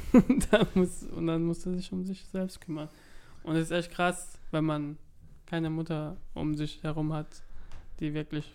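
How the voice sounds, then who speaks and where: Speaking at a very slow pace with long, frequent pauses, a man uses a high voice with fairly even intonation. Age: 20s. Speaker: podcast co-host. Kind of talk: casual chat. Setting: recorded separately, voice messages.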